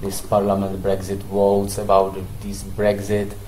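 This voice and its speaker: A man with a non-native accent, fairly low pitch and a fairly slow pace, with noticeable background noise and audible room echo. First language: not English. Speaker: forex trading analyst. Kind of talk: market analysis tutorial. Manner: halting, many fillers.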